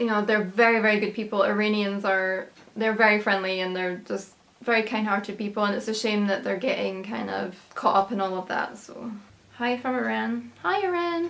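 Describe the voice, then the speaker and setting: A woman with an American accent speaks at a moderate pace and a medium pitch. Her intonation is fairly even, with noticeable background noise behind her. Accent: Scottish, sounds somewhat American. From UK. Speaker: travel vlogger. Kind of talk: casual Q&A reading viewer comments.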